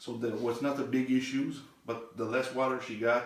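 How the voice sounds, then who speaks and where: Fairly even intonation and a French accent come through audible room echo and noticeable background noise. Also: man. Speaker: therapist demonstrating muscle testing. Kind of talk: demonstration with patient.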